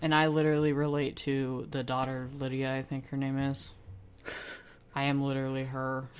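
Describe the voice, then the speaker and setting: This woman's voice is very deep and low, flat and monotone in intonation. She keeps a moderate pace, and audible room echo surrounds her. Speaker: podcast co-host. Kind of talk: casual chat.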